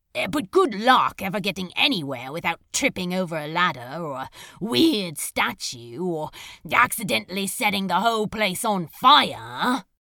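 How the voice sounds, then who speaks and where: A female-sounding voice puts on a character. It moves at a moderate pace with a middle pitch. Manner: sulky, sarcastic, hurt.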